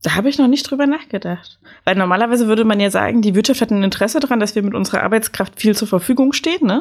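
The speaker is a woman with a fairly high pitch. She talks at a very fast pace with ordinary pitch variation. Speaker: podcast host. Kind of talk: casual chat.

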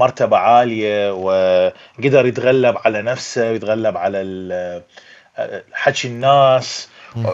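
A man with an Iraqi accent at a very slow pace, over noticeable background noise. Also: medium pitch for a man, ordinary pitch variation. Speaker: movie critic. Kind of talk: casual chat.

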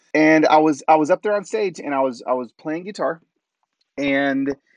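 In a dry, close sound with no echo and a quiet background, a man with a plain, everyday voice speaks at a fairly high pitch with lively intonation. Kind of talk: casual interview.

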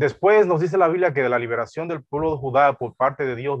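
A man talks at a fairly quick pace in an unremarkable speaking voice. His pitch is fairly high and his intonation lively. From Dominican Republic, deep south (Neiba lake region). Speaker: pastor. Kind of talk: sermon.

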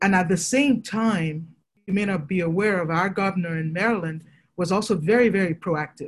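Her voice sits at medium pitch and is somewhat breathy. This woman speaks with ordinary pitch variation. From Nigeria. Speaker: fertility doctor. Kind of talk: interview.

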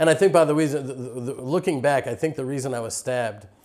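A man with an American accent, medium pitch, ordinary pitch variation and a dark, mellow tone. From Texas (Houston). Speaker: farmer and Israel advocate. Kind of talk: interview. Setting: on location at a farm.

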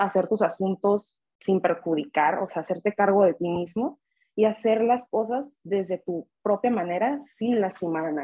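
Here a woman has a normal speaking voice at a medium pitch. Her pace is fairly slow, with ordinary pitch variation. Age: 20s. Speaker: guest, friend of host. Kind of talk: casual chat.

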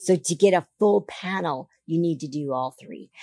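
A woman speaks in a low voice at a fairly slow pace. Her tone is slightly mellow.

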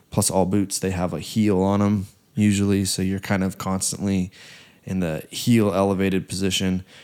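The recording is very clean with a silent background. The speech moves at a moderate pace with monotone, flat intonation. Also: man, fairly low pitch for a man. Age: 20s. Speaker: podcast co-host and fitness trainer. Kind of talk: casual chat.

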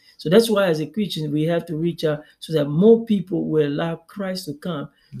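This man speaks at a moderate pace with a dark, mellow tone, a high pitch and ordinary pitch variation. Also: hardly any pauses. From Congo. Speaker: pastor. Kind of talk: interview. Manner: halting.

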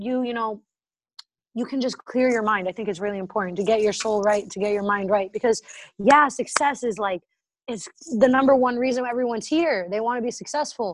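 An ordinary speaking voice from a woman with an American accent, fairly high in pitch, ordinarily varied, at a fairly quick pace against a quiet background. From Massachusetts, near Boston. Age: 20s. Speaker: entrepreneur. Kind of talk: casual interview.

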